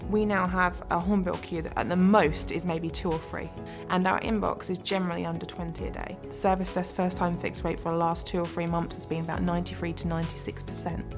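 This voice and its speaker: A woman talks at a moderate pace with hardly any pauses, clear music playing in the background. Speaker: hospital IT service analyst. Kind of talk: interview answer. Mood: positive, enthusiastic. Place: studio. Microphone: lapel.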